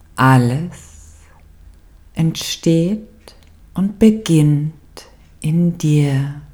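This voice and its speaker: A woman with a very deep, low pitch speaks at a very slow pace with long, frequent pauses, her somewhat breathy voice carrying a dark, mellow tone and a calm, soothing tone. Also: ordinary pitch variation. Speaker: meditation guide. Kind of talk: guided meditation. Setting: studio with background music. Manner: slow, calm and soothing, with long pauses; soft, gentle and warm, intimate.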